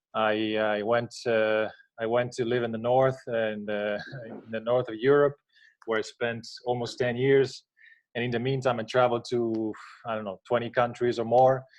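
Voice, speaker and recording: A man with an Italian accent and monotone, flat intonation. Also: medium pitch for a man, moderate pace. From Italy. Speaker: contest jury member. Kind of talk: self-introduction on a live panel. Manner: halting with many fillers.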